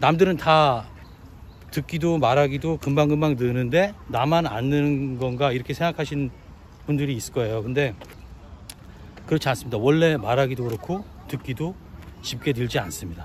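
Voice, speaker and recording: A man's fairly high-pitched voice at a moderate pace, with ordinary pitch variation and long, frequent pauses. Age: 50s. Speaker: trade business owner. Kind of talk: casual talk to camera.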